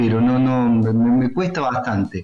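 The speech moves at a moderate pace. Music plays in the background, and room echo is audible. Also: man. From Córdoba, Argentina. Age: 40s. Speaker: writer and rock radio columnist. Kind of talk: interview.

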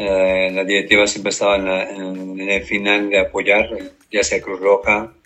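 His voice sits fairly low and moves fairly slowly. The man's delivery stays monotone and flat throughout. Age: 50s. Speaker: sports team mascot performer. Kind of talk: interview. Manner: halting.

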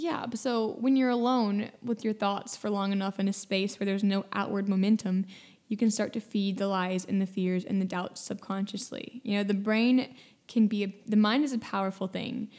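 Fairly even intonation runs through this clip. The woman's pitch is medium. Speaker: podcast host. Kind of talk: solo podcast monologue, casual talk. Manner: fast talker; casual, conversational.

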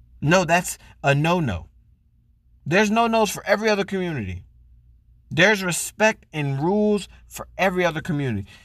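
This man has a high-pitched voice and talks at a fairly quick pace. He leaves long, frequent pauses, and his pitch varies in an ordinary way. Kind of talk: angry rant. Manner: heated, loud, profane and indignant.

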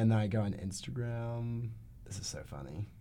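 A man's fairly low, dark, mellow voice with an American accent, ordinary pitch variation, a moderate pace and audible room echo. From North Carolina, Asheville. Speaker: college student. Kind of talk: casual chat.

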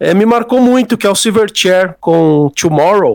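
The man speaks at a high pitch. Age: 30s. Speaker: music journalist and writer. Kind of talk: casual interview chat.

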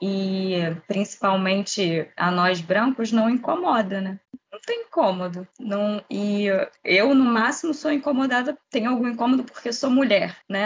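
A woman's somewhat breathy voice, fairly high in pitch, fairly slow, with ordinary pitch variation. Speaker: co-host and psychologist.

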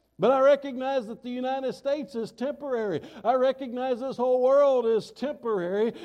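With a Southern US accent, a man talks at a fairly quick pace. His pitch is extremely high, with ordinary variation. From US South. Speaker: pastor. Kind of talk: sermon.

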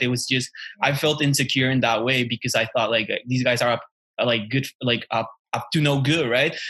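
A man with a Mexican accent, medium pitch and a fairly quick pace. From Mexico. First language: Spanish. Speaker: podcast co-host. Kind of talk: casual chat.

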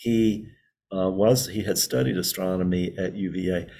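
With a Southern US accent, a man speaks in a dark, mellow tone. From rural North Carolina Piedmont. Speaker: professor. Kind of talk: interview. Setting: video call from a computer lab.

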